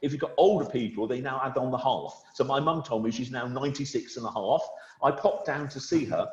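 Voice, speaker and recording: Noticeable background noise behind a man's fairly quick delivery. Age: 60s. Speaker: wealth manager. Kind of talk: webinar conversation. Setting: video call. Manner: conversational, with frequent hesitations.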